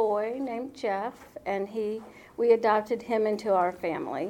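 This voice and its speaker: A woman's plain, everyday voice with an American accent, fairly high in pitch, fairly even in intonation, at a fairly slow pace. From Indianapolis, Indiana. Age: 60s. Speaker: retired nurse. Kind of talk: life story interview.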